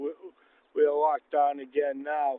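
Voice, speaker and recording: Monotone, flat intonation marks this man's fairly high-pitched voice. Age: 70s. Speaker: senior citizen interviewee, retired government inspector. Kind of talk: casual interview, personal account. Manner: halting, with frequent fillers and repeats.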